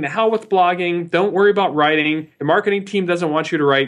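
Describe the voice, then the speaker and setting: A high-pitched man with an American accent against a quiet background. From US Midwest (Ohio). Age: 40s. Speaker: marketing executive. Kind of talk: interview.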